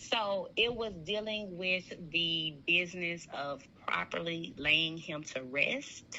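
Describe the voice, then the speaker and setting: Speech comes at a very slow pace with hardly any pauses, against audible room echo. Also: woman, fairly low pitch for a woman, ordinary pitch variation. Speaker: guest on a sorority sister's podcast. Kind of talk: casual interview conversation. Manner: loud.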